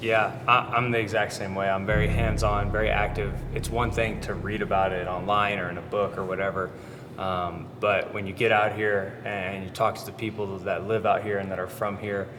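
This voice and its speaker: Noticeable background noise and audible room echo surround the recording. A man with a fairly low pitch talks at a moderate pace in a monotone, flat intonation. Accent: American. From US. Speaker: football quarterback. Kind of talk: casual interview.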